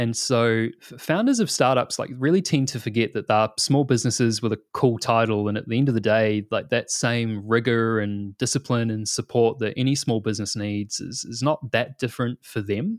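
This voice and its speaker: On a very clean recording with a silent background and a dry, close sound with no echo, a man with a New Zealand accent speaks at medium pitch and a moderate pace, with fairly even intonation and hardly any pauses. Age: 30s. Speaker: product manager. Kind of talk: interview.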